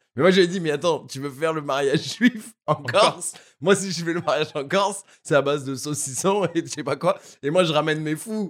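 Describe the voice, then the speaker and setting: Fairly high in pitch and fairly quick, this man talks in a plain, everyday voice. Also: ordinary pitch variation. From Paris, France (7th arrondissement). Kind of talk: casual chat.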